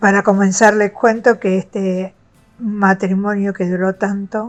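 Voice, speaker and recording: Music plays in the background as a woman speaks at medium pitch. Her pace is fairly slow and her intonation monotone and flat. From Argentina. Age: 60s. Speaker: retired teacher sharing abuse experience. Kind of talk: personal testimony. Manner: some hesitation fillers.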